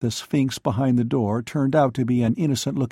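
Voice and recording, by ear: Reading aloud in a natural voice, with fairly even intonation.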